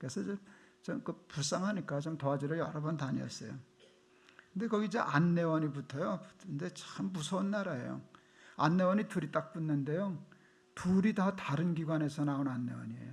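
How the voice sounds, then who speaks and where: A man with a North Korean accent, fairly high in pitch, with ordinary pitch variation. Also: moderate pace. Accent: North Korean intonation underlying his speech. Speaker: pastor. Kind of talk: sermon. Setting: church.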